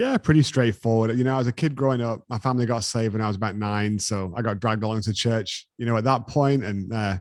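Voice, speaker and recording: A man with an English accent at medium pitch, very fast, with hardly any pauses and a fairly even intonation. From England. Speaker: business owner. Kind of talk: interview.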